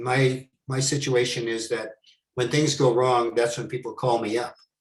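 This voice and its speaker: A man with an American accent speaks at a fairly slow pace, his voice somewhat breathy. His pitch is medium and his intonation fairly even. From New York. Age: 70s. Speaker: former money launderer turned consultant. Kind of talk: Q&A talk.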